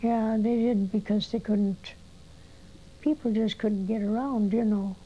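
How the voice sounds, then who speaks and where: Her voice is fairly high, somewhat breathy and dark and mellow in tone. The woman talks at a fairly slow pace with fairly even intonation. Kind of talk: interview answer.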